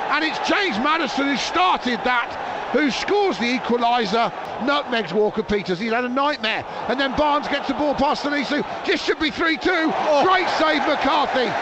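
With noticeable background noise, a man talks at a moderate pace in an extremely high pitch, his intonation lively and his loudness very even. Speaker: football commentator. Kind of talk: live football commentary. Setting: stadium match footage voiceover. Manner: brisk, punchy short phrases.

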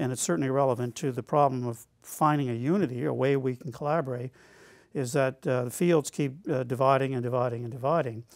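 Against a quiet background and a dry sound with no echo, a man speaks at a fairly quick pace. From Nova Scotia, Canada. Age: 60s. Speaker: academic speaker; speaker. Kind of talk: lecture. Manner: halting, many fillers. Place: studio.

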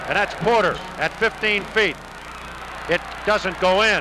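Noticeable background noise sits under a dry sound with no echo. A man speaks at a moderate pace. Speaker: TV play-by-play announcer. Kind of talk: sports commentary. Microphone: old recording.

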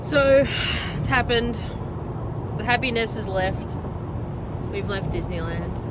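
Someone with an Australian accent speaks with long, frequent pauses against loud background noise, the sound dry and without echo. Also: woman. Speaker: travel vlogger. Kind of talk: casual travel vlog talk. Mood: joking, a bit grumpy. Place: car. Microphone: phone near.

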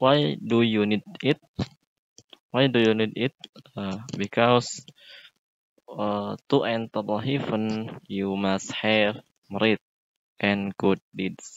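With a fairly low pitch and ordinary pitch variation, a man talks at a very slow pace with long, frequent pauses in a dry sound with no echo. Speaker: vlogger practicing English. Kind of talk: casual vlog chat. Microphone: earbuds.

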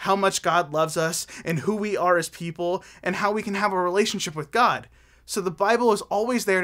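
What we hear is plain reading aloud.

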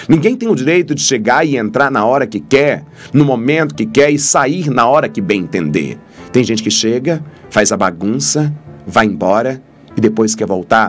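Speech at a moderate pace plays with faint music in the background. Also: man. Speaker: priest. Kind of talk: sermon-style reflection. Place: studio. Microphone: studio mic.

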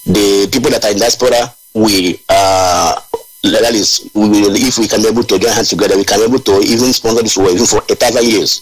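A man talks at a very fast pace with very even loudness. Music plays behind him. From Nigeria. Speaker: activist coordinator. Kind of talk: call-in radio show. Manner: halting.

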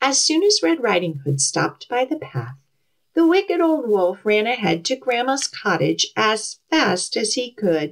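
Natural-voiced reading aloud over a quiet background

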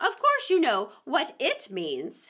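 A woman's put-on character voice, high-pitched and fairly bright, with very wide pitch swings and a slow pace.

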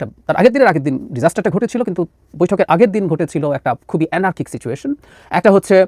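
A man speaks at a high pitch in a dry, close sound with no echo. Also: lively intonation. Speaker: political analyst. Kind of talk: political commentary.

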